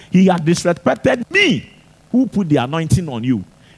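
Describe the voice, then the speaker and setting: A man shouting in an animated tone, with very wide pitch swings. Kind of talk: sermon. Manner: animated, emphatic preacher in full flow, hammering points with repetition; rhetorical questions to the congregation, teaching with call-and-response energy.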